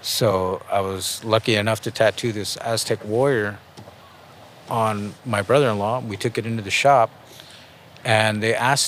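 Medium-pitched speech from a man with an American accent, fairly even intonation, moderate pace and long, frequent pauses, amid noticeable background noise. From San Jose, California (North side), Chicano family. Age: 40s. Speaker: tattoo artist. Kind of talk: interview. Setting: outdoors in a park.

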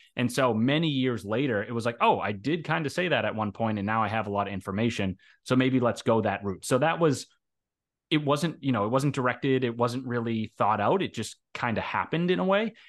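An unremarkable speaking voice with lively intonation at a fairly quick pace. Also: man, medium pitch for a man. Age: 30s. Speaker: author and software developer. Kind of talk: interview, casual chat.

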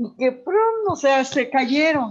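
A woman talks very slowly while her pitch ranges very widely up and down. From Morelos, Mexico. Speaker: retired teacher and education official. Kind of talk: interview, storytelling. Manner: halting, many fillers.

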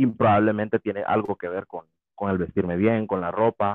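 This man's voice is fairly low. He speaks in a flat monotone. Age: 20s. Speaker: podcast guest. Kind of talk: casual chat.

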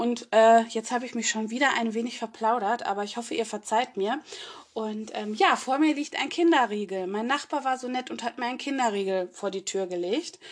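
A woman with a normal speaking voice talks at a fairly high pitch, with ordinary pitch variation. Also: moderate pace. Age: 30s. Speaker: podcast co-host. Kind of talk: casual chat.

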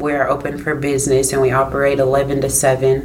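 Against noticeable background noise, a woman with a Midwestern US accent speaks at a moderate pace in a very deep, low pitch. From Iowa, Des Moines. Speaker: food truck owner. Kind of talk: casual interview.

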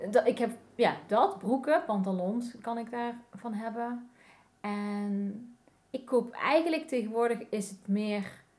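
A woman at a very slow pace, fairly high in pitch, with ordinary pitch variation and big swings in loudness. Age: 40s. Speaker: graphic designer, vintage fashion entrepreneur. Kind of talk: casual interview chat. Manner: halting, many fillers.

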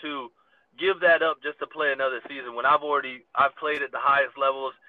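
A man with an American accent and a normal speaking voice talks at a fairly quick pace with fairly even intonation. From US. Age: 20s. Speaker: pro football player and coach. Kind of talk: interview.

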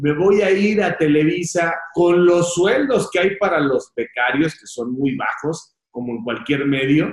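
Pitched high, a man talks at a fairly slow pace with lively intonation. He makes hardly any pauses. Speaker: interviewer, channel host. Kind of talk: interview.

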